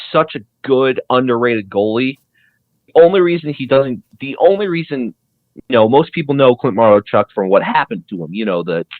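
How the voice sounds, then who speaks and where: Medium in pitch, a man speaks with a Colorado accent at a fairly quick pace. His pitch swings very widely. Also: big swings in loudness. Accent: self-described Coloradan. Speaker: sports podcast co-host. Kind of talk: casual chat. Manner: fast, halting with many restarts.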